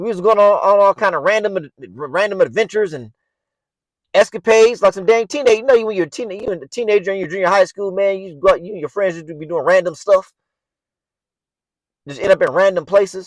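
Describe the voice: A man talks at a fairly quick pace. His pitch is high, with ordinary pitch variation. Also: dry, close sound with no echo.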